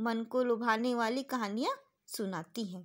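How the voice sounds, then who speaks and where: This woman speaks with a high pitch. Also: quiet background. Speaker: teacher. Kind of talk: lesson explaining English text in Hindi. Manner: slow, word-by-word with pauses. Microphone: phone near.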